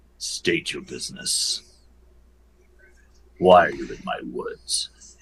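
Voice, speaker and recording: A man uses a put-on character voice at a fairly slow pace. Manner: suspicious, challenging.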